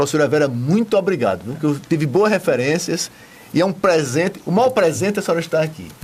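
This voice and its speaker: A man's fairly high-pitched, lively voice at a very fast pace. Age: 70s. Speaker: TV presenter. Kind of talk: TV interview. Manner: enthusiastic.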